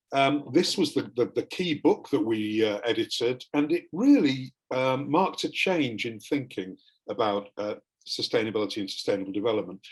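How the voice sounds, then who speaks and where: A man with an English accent at a moderate pace. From England. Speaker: academic panelist. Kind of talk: panel presentation.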